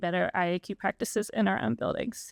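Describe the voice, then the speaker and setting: A woman's voice with vocal fry, dry and close with no echo, on a very clean recording with a silent background. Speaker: federal agency official. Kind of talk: prepared testimony. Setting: commission meeting. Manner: fast.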